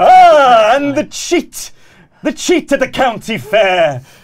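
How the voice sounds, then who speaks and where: A man's put-on character voice, sing-song and extremely high-pitched, at a very slow pace. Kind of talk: comic villain. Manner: taunting, cruel, sing-song.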